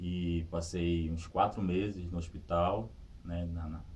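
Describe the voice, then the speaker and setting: There is audible room echo around a man whose pitch is very deep and low. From Brazil, Pará (Vigia). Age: 30s. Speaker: sitting volleyball athlete and teacher. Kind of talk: interview testimony. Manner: halting, with repetitions.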